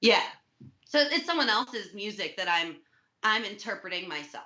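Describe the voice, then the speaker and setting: Loud and energetic, a woman speaks at medium pitch with very wide pitch swings and a bright, sharp tone. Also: moderate pace. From US Midwest, Milwaukee, Wisconsin. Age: young. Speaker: music teacher and musician. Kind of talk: interview.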